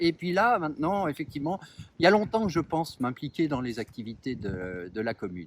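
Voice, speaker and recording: Fairly high in pitch, a man talks at a fairly quick pace with very wide pitch swings. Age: 60s. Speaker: municipal election candidate. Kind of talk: interview. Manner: halting, many hesitations.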